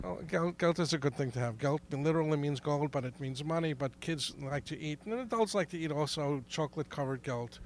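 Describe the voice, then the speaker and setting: The speaker goes at a fairly quick pace with ordinary pitch variation. The recording is very clean, with a silent background. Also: man. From New York, Brooklyn. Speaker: interviewee explaining Hanukkah. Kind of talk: interview. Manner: halting, many restarts.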